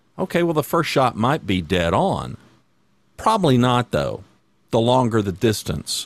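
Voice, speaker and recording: A man talks at a fairly slow pace with vocal fry and very wide pitch swings. The recording is very clean, with a silent background. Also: medium pitch for a man, very even loudness. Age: 60s. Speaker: podcast co-host, leadership coach. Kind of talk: casual chat.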